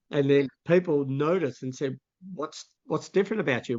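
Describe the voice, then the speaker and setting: Speaking at a moderate pace with ordinary pitch variation, a man has an ordinary speaking voice with a fairly high pitch. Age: 60s. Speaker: vision educator and mentor. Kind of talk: interview conversation.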